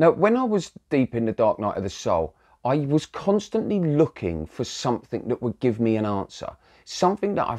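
A dark, mellow tone at a moderate pace, over a quiet background. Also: man. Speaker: spiritual coach. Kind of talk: casual vlog talk. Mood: calm, reflective. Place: home room. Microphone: lapel.

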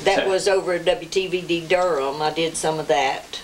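At a moderate pace, a woman speaks in a Southern Appalachian accent, with light background noise. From Jackson County, western North Carolina. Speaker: clog and buck dancer. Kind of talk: interview answer. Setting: home recording. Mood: warm, reminiscing. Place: home room.

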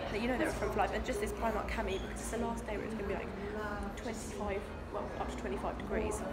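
A woman talks at a very fast pace with crowd noise in the background. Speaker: vlogger. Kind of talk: casual vlog chat. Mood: cheerful, chatty. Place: cafe. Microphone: phone near.

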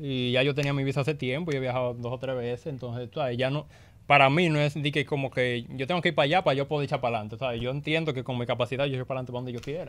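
His pace is very fast. The man's intonation is fairly even throughout. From Dominican Republic, Las Terrenas, Samaná; Dominican Republic. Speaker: rapper; guest comedian. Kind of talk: casual interview. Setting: radio studio. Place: studio. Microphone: studio mic.

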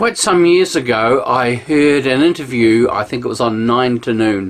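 A New Zealand accent at a fairly slow pace. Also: man. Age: 60s. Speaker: pastor. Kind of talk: sermon. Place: home room. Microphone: camera far.

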